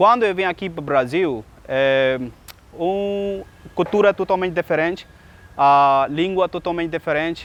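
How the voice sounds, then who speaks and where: Fairly slow, high-pitched speech from a man, with ordinary pitch variation. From Pakistan. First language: Urdu or another Pakistani language (speaking Portuguese). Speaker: English teacher and Portuguese learner. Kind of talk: casual personal account. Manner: halting, many hesitations.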